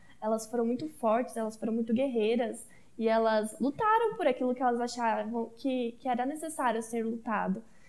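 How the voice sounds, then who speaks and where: A woman with a plain, everyday voice, a moderate pace, hardly any pauses and fairly even intonation. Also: fairly high pitch for a woman. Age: 20s. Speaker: communications student. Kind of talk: casual chat.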